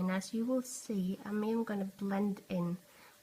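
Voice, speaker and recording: Noticeable background noise sits behind a woman speaking at a fairly slow pace. Her medium pitch shows ordinary variation. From Norway. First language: Norwegian. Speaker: art tutorial youtuber. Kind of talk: tutorial. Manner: halting, searching for words.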